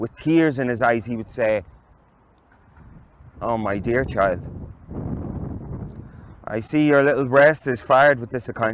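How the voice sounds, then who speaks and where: Talking at a fairly slow pace with long, frequent pauses, a man uses a medium pitch and ordinary pitch variation. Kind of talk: literary reading. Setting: outdoors.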